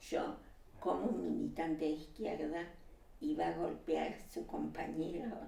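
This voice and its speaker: There is audible room echo and noticeable background noise. A woman talks at a fairly slow pace. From Uruguay and Argentina. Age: 70s. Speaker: exile, former left-wing activist. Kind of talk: casual conversation. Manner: hesitant, many filler sounds.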